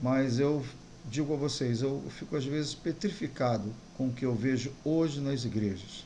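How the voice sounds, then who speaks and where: Audible room echo surrounds a man whose medium-pitched voice carries a dark, mellow tone. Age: 60s. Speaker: pastor. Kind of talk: sermon.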